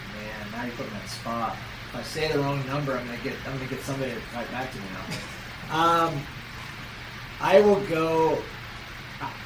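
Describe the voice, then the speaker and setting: A man with an American accent talks at a fairly quick pace, with lively intonation, big swings in loudness and long, frequent pauses. Noticeable background noise and audible room echo surround his voice. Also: fairly high pitch for a man. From US Midwest, Peoria Illinois. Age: 40s. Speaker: race organizer. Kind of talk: interview.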